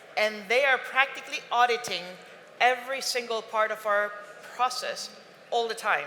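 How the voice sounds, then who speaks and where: This woman talks with a Spanish accent at a fairly high pitch. Her pace is fairly slow and her intonation fairly even. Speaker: airline representative on panel. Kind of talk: panel discussion.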